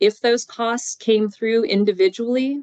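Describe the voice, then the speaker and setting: This is a woman's voice. The sound is dry and close, with no echo. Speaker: university grants administrator. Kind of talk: presentation. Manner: fast.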